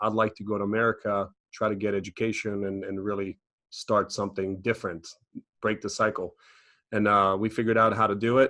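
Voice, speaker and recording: Against a quiet background, a man with a Croatian accent speaks in a fairly low pitch. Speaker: financial educator and business owner. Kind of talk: podcast interview.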